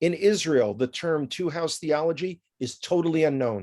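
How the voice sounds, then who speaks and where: A man with a New York accent speaks at a fairly high pitch for a man, his voice dry and close with no echo. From New York City (the Bronx). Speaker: tour guide. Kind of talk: interview.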